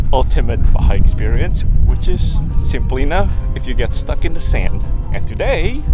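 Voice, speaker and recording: Loud music plays behind a man speaking at a moderate pace, his sound dry with no echo. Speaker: travel vlogger. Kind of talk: casual vlog chat. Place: beach. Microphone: phone near.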